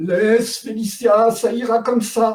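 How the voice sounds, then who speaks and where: In a put-on character voice, a man speaks at a fairly slow pace with an extremely high pitch and a monotone, flat intonation. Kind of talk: comic play reading. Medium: read story. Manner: sarcastic, exasperated.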